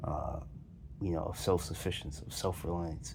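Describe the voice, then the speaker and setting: A man with a very deep, low pitch talks at a fairly quick pace with fairly even intonation. Noticeable background noise and audible room echo fill the recording. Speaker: video commentator. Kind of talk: casual monologue. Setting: lying on a pillow on the floor. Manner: halting, with many fillers and repeats.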